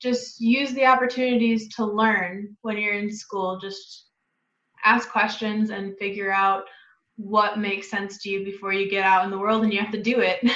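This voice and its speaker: In an American accent, the speaker talks at a moderate pace with monotone, flat intonation and audible room echo. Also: woman. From Wisconsin. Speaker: chiropractic student. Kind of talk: interview.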